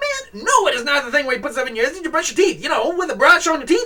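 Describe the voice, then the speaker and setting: A high-pitched, put-on character voice races along at a very fast pace. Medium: read story. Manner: sassy, complaining, folksy.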